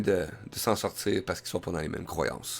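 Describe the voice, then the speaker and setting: A man in a Quebec accent, on a very clean recording with a silent background. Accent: Québécois French. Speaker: web radio host. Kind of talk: live web radio monologue. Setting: live stream with headset and mic. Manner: hesitant, many fillers.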